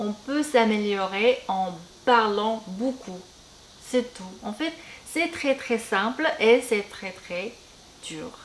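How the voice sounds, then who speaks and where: At a very slow pace with long, frequent pauses, a woman with a fairly high voice speaks with lively intonation and big swings in loudness. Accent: Korean. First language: Korean (speaking French). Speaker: beauty and language youtuber. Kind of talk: casual chat while doing makeup. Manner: halting, many hesitations.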